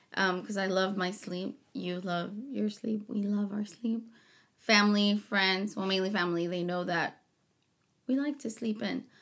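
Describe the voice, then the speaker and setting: A woman in an ordinary speaking voice with an American accent, medium pitch, ordinary pitch variation and a fairly slow pace. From Rio Grande Valley, Texas. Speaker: host's wife, small business owner. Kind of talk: casual chat.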